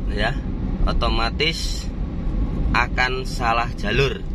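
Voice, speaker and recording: A man's voice sounds dry and echo-free, though loud noise fills the background. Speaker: vlogger. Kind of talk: casual vlog chat. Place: car. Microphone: phone near.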